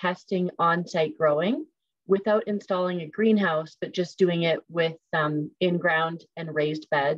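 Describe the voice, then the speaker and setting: The pace is fairly slow. Pitch variation stays ordinary. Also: woman. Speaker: food services participant in leadership cohort. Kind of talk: webinar presentation.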